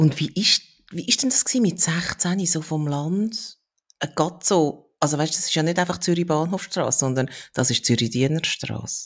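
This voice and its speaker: Here is an unremarkable speaking voice: a woman, fairly low in pitch, with lively intonation at a moderate pace. The recording is very clean, with a silent background. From Switzerland. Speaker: podcast host. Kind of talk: casual interview conversation.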